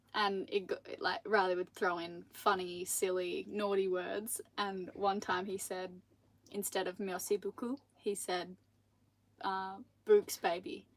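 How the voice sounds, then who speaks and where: An Australian accent at a fairly slow pace. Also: woman, medium pitch for a woman. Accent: Australian, milder than partner's. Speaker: sailing vlogger. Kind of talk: live stream Q&A. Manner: animated.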